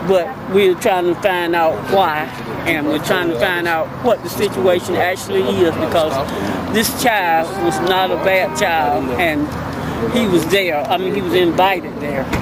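Crowd noise fills the background as a woman speaks. Her pitch is fairly low, with ordinary variation. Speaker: grieving grandmother. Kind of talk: interview statement.

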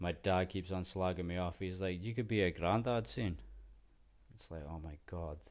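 With a Scottish accent, a man speaks at a moderate pace in a very deep, low pitch. His pitch varies in an ordinary way, while his loudness swings widely. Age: 30s. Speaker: podcast host. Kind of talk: casual solo monologue.

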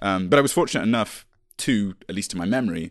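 A man speaks at a very deep, low pitch. The background is quiet. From England, Stroud, Gloucestershire. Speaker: podcast co-host. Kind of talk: casual chat.

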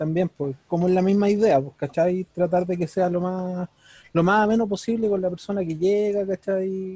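A man speaks with a Chilean accent. His voice is high-pitched for a man, with a dark, mellow tone. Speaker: podcast co-host. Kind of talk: casual chat.

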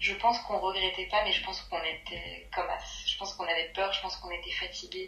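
The speech moves at a very fast pace, with audible room echo and noticeable background noise. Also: woman. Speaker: friend of the host. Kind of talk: casual chat.

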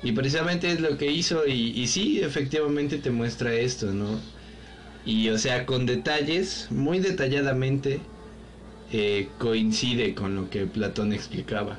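A man with a Mexican accent speaks at a fairly slow pace, his intonation lively and his loudness very even. Audible room echo and noticeable background noise are present in the recording. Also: medium pitch for a man. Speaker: podcast co-host. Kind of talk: casual chat.

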